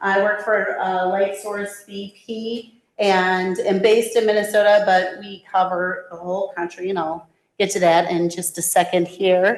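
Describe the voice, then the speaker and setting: A fairly slow, fairly even delivery in an Upper Midwest accent. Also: woman. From Wisconsin. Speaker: government relations director. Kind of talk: presentation.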